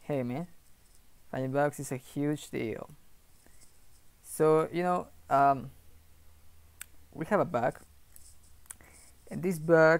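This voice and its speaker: The man's pitch moves in an ordinary way. He speaks at a very slow pace. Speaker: programmer streamer. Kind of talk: casual live stream chat. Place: home room.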